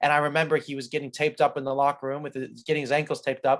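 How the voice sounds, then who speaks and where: A man with a fairly high pitch speaks at a very fast pace on a very clean recording with a silent background. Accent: American. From California, US. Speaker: professional soccer player. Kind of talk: interview. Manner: articulate.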